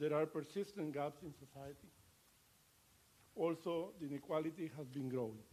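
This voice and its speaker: A man with a Latin American accent speaks at a moderate pace, with long, frequent pauses. His voice is fairly high in pitch, with ordinary pitch variation and a dark, mellow tone. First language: Spanish. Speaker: ambassador. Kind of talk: formal speech. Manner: halting.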